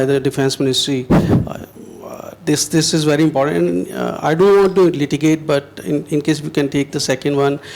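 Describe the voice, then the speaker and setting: With noticeable background noise, a man speaks at a moderate pace and a fairly high pitch. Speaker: journalist asking a question. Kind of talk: audience question.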